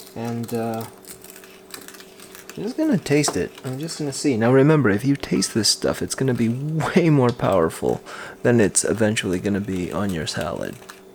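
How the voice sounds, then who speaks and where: Over noticeable background noise, a soft-spoken man of medium pitch talks at a moderate pace with lively intonation. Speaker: cooking vlogger, stay-at-home dad. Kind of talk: cooking tutorial. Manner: soft-spoken, speaking quietly.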